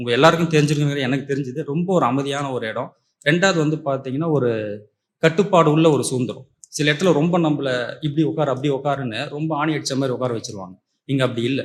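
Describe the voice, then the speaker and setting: Fairly high in pitch with ordinary pitch variation, the man has an unremarkable speaking voice. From Puducherry. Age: 30s. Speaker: course participant. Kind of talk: testimony.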